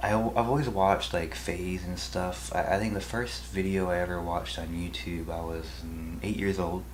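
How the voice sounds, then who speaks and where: Audible room echo surrounds a man with a very deep, low pitch who speaks at a fairly quick pace. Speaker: YouTube video editor. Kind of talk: casual Q&A vlog. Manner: halting.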